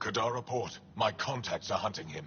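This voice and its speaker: A man speaks in a put-on character voice. Background noise is clearly audible. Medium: video game. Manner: guarded, terse.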